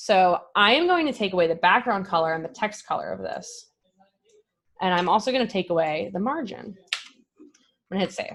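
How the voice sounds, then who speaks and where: A woman speaks at a fairly quick pace, with big swings in loudness. Her talk is broken by long, frequent pauses. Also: medium pitch for a woman, lively intonation. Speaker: software developer giving a tech talk. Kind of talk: live coding presentation. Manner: fast.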